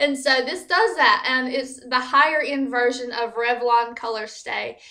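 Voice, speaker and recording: A woman with an American accent uses a raised, projected voice at a high pitch and fairly slow pace. Her intonation stays fairly even over noticeable background noise. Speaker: beauty vlogger. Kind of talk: product review vlog. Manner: casual with fillers.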